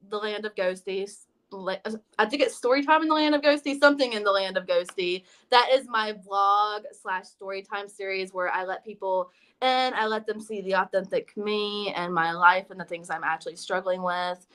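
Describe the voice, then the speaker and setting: A woman speaks at a moderate pace with an American accent, her pitch sitting in the middle range. Her tone is bright and sharp, and her loudness swings widely. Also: ordinary pitch variation. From US South, South Carolina. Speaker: YouTuber and artist. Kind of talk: interview.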